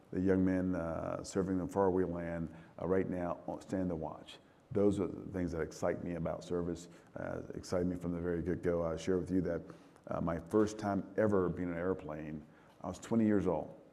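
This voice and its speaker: The voice has a dark, mellow tone and monotone, flat intonation at a moderate pace. Audible room echo is present. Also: man, very deep, low pitch for a man. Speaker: military commander. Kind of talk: fireside chat interview. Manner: halting, repeats words.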